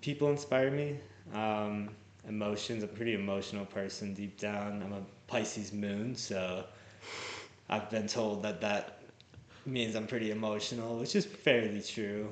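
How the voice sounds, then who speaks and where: There is audible room echo around a man's voice. He speaks at a moderate pace, fairly low in pitch, with fairly even intonation. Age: 20s. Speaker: singer-songwriter. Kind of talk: casual chat. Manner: halting.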